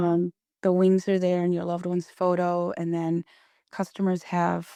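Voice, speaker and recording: Soft-spoken and monotone, a woman talks at a moderate pace with flat intonation in a dry, close sound with no echo, the recording very clean with a silent background. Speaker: founder of a paper wreath company, entrepreneur. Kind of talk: podcast interview answer.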